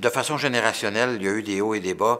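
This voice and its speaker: With a bright, sharp tone, a man talks at a very fast pace. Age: 60s. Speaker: politician. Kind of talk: interview. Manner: halting, many repetitions and fillers; animated.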